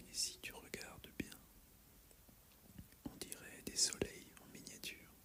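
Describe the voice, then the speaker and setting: Someone whispers in a gentle tone at a very slow pace. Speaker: herbalist (roleplay character). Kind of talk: ASMR roleplay, soothing guided talk. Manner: soft-spoken, slow, gentle.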